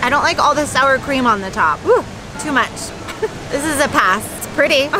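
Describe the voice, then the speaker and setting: Over music in the background, a woman with a high pitch speaks at a fairly slow pace in a dry sound with no echo. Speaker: food vlogger. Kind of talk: casual vlog chat. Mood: playful, candid reviewing. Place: street. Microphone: phone near.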